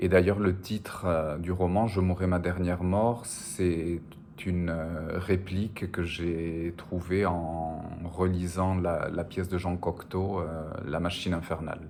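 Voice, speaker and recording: In a room with audible echo, a man with a Spanish accent speaks very slowly at a very deep, low pitch with monotone, flat intonation. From French Basque Country, border with Spain. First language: Spanish (speaking French). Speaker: novelist. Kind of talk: interview. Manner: hesitant, frequent filler sounds.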